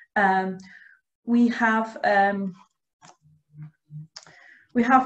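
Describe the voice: The intonation stays fairly even. Audible room echo surrounds the voice. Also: woman.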